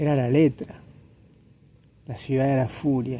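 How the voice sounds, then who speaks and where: At a very slow pace, a man speaks with a fairly high pitch and a dark, mellow tone. His voice is somewhat breathy. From Latin America. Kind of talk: casual monologue to camera. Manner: hesitant, repetitive, reflective.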